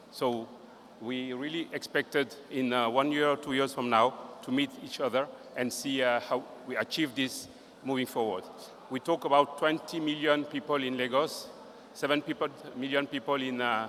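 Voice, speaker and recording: With a French accent, a man speaks at a moderate pace, his fairly high pitch held in fairly even intonation. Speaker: regional director giving closing remarks. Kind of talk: closing speech. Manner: halting, hesitant.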